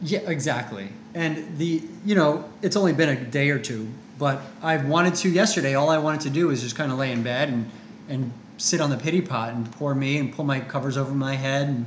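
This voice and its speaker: Talking at a fairly quick pace, a man has an ordinary speaking voice with fairly high pitch and ordinary pitch variation. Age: 30s. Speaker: podcast co-host, author and speaker. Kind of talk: casual podcast conversation. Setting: live Facebook broadcast.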